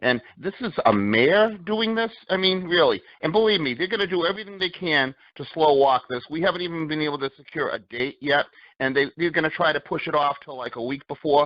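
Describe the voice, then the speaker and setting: A man with a Boston accent, fairly high pitch, lively intonation and a fairly quick pace. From Boston area. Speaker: activist. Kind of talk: interview.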